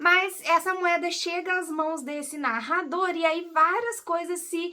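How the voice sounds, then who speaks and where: A woman's bright, sharp voice, extremely high in pitch, raised and projected, with fairly even intonation and a very slow pace. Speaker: book YouTuber. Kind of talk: casual book review vlog. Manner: casual, hesitant with fillers.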